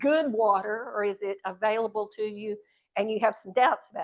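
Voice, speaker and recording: A woman with an unremarkable speaking voice talks at a moderate pace in an American accent. Her pitch is fairly high, with ordinary variation. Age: 60s. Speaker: speaker on water issues. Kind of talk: talk to audience. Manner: conversational, interactive.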